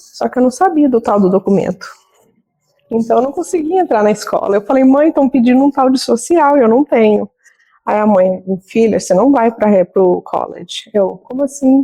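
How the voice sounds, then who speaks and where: Lively intonation in a woman's voice pitched high. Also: moderate pace, very even loudness. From Minas Gerais, Brazil. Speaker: nurse and beauty business owner. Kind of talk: interview.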